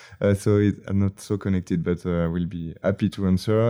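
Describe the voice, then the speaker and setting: A man with a French accent, very deep and low in pitch, dark and mellow in tone, monotone and flat in intonation, with a dry, close sound free of echo and a quiet background. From France. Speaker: video game creative director. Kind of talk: casual interview. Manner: halting, many fillers.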